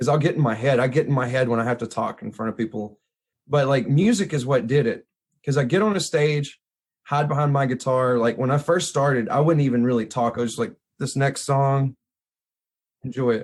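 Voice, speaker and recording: A man with a Mississippi accent at a fairly quick pace. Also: medium pitch for a man, ordinary pitch variation. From Mississippi hill country, US South. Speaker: photographer and blues musician. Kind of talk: casual chat. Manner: casual, informal.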